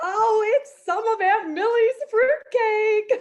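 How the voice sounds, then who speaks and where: In a put-on character voice, a woman squeaks along at a very slow pace with an extremely high pitch and ordinary pitch variation. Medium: stage play. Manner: giggling, chatty.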